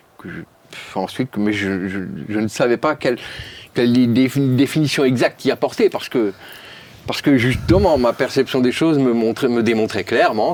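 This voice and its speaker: A man's medium-pitched voice rises and falls with ordinary pitch variation. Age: 60s. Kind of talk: testimony in a talk show interview. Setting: studio talk show set. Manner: halting, with frequent repetitions.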